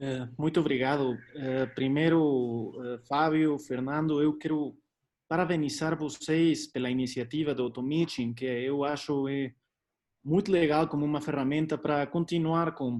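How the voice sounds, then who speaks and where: A man talks fairly slowly, his fairly high voice carrying fairly even intonation. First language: Spanish (speaking Portuguese). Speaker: doctor. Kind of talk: lecture. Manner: hesitant, many fillers.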